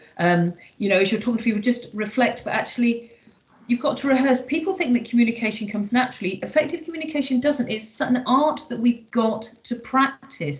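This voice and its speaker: Lively intonation at a fairly quick pace, over noticeable background noise. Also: woman, high pitch for a woman. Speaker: workshop facilitator. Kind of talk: online workshop Q&A.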